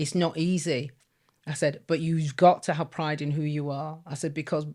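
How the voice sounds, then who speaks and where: With a Yorkshire accent, a woman speaks in a fairly low voice at a moderate pace and with fairly even intonation, on a very clean recording with a silent background. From northern England, Leeds. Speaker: former teacher. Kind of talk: interview testimony.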